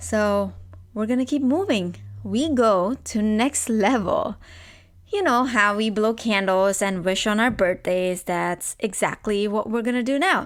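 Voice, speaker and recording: A woman with a non-native accent speaks at a fairly slow pace in an animated tone, fairly high in pitch with ordinary variation and very even loudness, on a very clean recording with a silent background. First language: not English. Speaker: podcast host. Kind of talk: podcast monologue.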